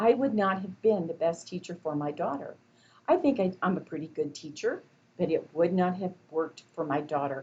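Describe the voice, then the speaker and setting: A woman's fairly low, somewhat breathy voice at a moderate pace, with ordinary pitch variation. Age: 60s. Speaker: college instructor. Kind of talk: lecture. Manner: conversational.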